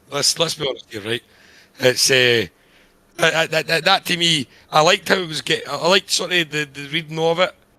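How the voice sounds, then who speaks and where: A man with a Scottish accent, a fairly high pitch, a bright, sharp tone, ordinary pitch variation, and a fairly quick pace. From Scotland. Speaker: podcast co-host reviewing screenplays. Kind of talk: casual chat. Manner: animated.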